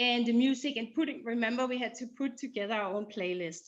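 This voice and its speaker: A woman speaks with a Danish accent and lively intonation. Her pitch is fairly high. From Denmark. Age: 50s. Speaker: breast cancer survivor. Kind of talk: casual interview. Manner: halting.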